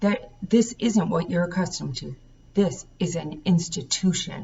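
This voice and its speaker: A woman puts on a character voice that is raspy and fairly low. Her pitch varies in an ordinary way. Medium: read story. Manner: stern, authoritative.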